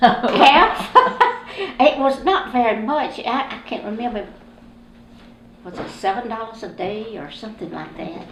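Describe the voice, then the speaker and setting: A woman with a South Carolina accent talks at a fairly slow pace with long, frequent pauses, her fairly high voice carrying lively intonation and big swings in loudness, heard with audible room echo and noticeable background noise. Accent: US Southern (South Carolina). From South Carolina, Columbia. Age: 80s+. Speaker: oral history interviewee. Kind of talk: oral history interview.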